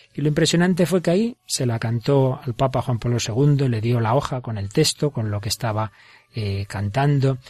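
In a Spanish accent, a man speaks at medium pitch with ordinary pitch variation and a somewhat breathy voice, in a dry, close sound with no echo on a very clean recording with a silent background. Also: moderate pace. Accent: Spanish (Spain). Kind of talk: religious radio program.

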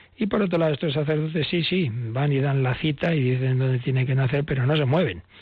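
At a fairly quick pace, a man talks in a plain, everyday voice with a medium pitch. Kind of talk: catechism teaching on radio.

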